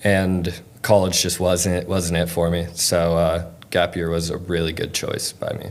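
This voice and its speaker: A man with a very deep, low pitch speaks fairly slowly in a monotone, flat way, with audible room echo and noticeable background noise. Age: 20s. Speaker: concert photographer. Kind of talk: casual interview.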